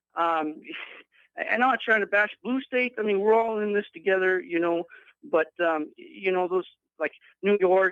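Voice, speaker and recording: A man speaks at a moderate pace. His pitch is high. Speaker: caller. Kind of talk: phone-in call. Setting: phone call. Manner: halting, many fillers and repetitions.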